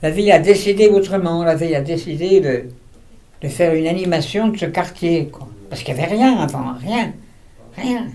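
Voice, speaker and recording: A man speaks with a high pitch. Audible room echo is present. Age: 80s+. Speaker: retired architect. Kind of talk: interview.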